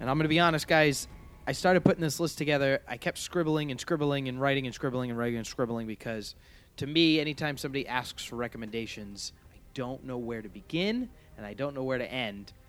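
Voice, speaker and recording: This man has a normal speaking voice, fairly high in pitch. He talks at a fairly quick pace with lively intonation. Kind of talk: radio DJ patter: punchy, tongue-in-cheek show-opener and segment-break promos. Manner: brisk, upbeat and salesy, with mock-grand hype and cheeky jokes.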